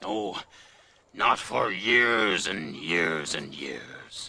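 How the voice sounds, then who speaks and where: A put-on character voice, raspy and very slow, carries lively intonation. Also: man, very deep, low pitch for a man. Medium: cartoon. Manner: slow, musing, with thoughtful hums.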